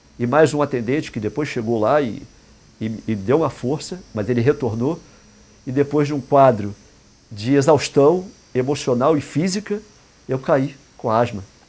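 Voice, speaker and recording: This is a man with a medium-pitched voice. He speaks at a moderate pace. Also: long, frequent pauses. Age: 60s. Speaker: indigenist and therapist. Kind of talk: talk in an interview format. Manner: halting, with repetitions.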